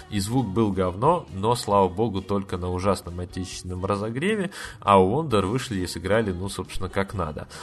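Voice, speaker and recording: In an animated tone, a man speaks at a moderate pace with a fairly low pitch. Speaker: podcast host. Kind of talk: casual solo review monologue. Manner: many filler words.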